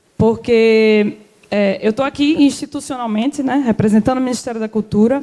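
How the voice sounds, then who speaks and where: A woman's high-pitched voice with ordinary pitch variation over noticeable background noise. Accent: Alagoas. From Alagoas, Brazilian Northeast. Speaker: government cultural policy official. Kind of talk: panel talk.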